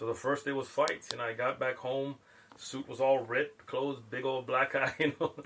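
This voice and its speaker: A man with an American accent talks at a moderate pace in flat, monotone intonation over noticeable background noise. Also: medium pitch for a man. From US West Coast, East San Diego. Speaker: Islamic preacher. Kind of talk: casual chat.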